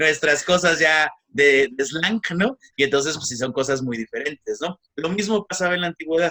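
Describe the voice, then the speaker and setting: A man with a Mexican accent and a fairly high pitch, his sound dry and close with no echo. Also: ordinary pitch variation, moderate pace. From Mexico. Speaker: egyptologist lecturer. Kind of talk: lecture. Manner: hesitant with fillers.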